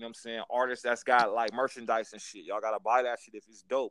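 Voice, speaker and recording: At a very fast pace, a man with an American accent talks at a medium pitch. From Los Angeles, California. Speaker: podcast host. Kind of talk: casual interview. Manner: animated.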